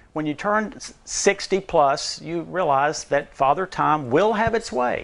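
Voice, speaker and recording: A man speaks in a plain, everyday voice, fairly high in pitch. His intonation is lively and his pace fairly slow. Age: 60s. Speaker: nutrition speaker. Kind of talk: talk to an audience.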